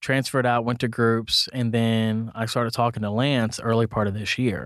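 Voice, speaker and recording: On a very clean recording with a silent background, a man with an American accent uses an ordinary speaking voice at medium pitch and a moderate pace. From Kansas City area, US Midwest. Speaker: pastor. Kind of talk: casual chat.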